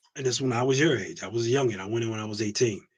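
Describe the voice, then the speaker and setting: Speaking very fast with an American accent, a man uses a medium pitch and an animated tone, sounding somewhat breathy. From US Northeast. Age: 40s. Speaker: navy veteran. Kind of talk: casual chat.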